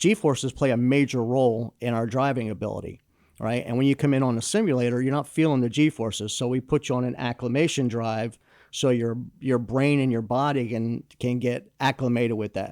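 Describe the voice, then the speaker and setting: A man with an American accent and a plain, everyday voice speaks fairly quickly at a medium pitch with fairly even intonation, the sound dry and close with no echo on a very clean recording with a silent background. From New Jersey. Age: 60s. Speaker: driving instructor. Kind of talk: interview. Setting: studio.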